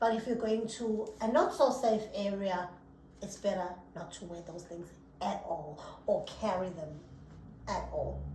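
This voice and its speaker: Noticeable background noise runs under a woman who speaks with long, frequent pauses. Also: medium pitch for a woman, ordinary pitch variation, fairly slow pace, big swings in loudness. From South Africa. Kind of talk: casual podcast conversation.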